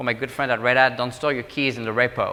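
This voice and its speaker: A man of medium pitch speaks in a French accent with a bright, sharp tone. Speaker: government technology executive. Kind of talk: conference talk. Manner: fast.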